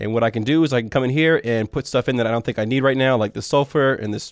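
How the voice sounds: Nasal and at a medium pitch, a man talks at a fairly quick pace with ordinary pitch variation.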